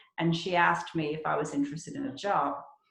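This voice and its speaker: A fairly low-pitched woman's voice with audible room echo. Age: 60s. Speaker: real estate agent. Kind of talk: interview.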